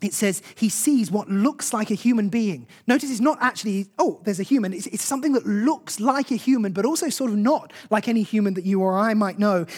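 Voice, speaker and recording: Talking at a fairly quick pace with hardly any pauses, a man speaks in a high voice. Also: ordinary pitch variation. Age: 30s. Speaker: preacher. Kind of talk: sermon.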